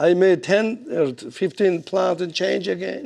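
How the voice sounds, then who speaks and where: A man speaks with a Georgian accent. His pitch is high. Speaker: boxing coach. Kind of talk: speech at an event. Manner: halting.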